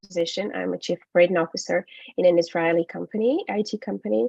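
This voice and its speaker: The speaker is a woman. She talks with a Ukrainian accent. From Ukraine. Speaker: English teacher and business trainer. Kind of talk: webinar presentation. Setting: online webinar. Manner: hesitant with frequent fillers.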